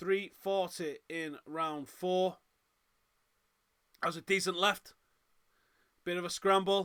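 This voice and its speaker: A man's raised, projected voice, bright and sharp in tone. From northern England, Manchester. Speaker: MMA watch-along host. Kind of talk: live fight reaction commentary.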